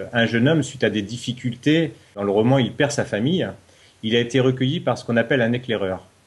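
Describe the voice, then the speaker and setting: A man's somewhat breathy, medium-pitched voice with ordinary pitch variation, at a fairly quick pace. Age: 40s. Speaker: novelist, reality show contestant. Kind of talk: interview. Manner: hesitant, with fillers.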